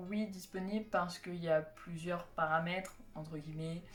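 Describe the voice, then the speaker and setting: Music plays in the background behind a voice with fairly even intonation. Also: woman. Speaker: youtuber and fan community organizer. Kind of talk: casual vlog announcement. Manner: hesitant, many fillers.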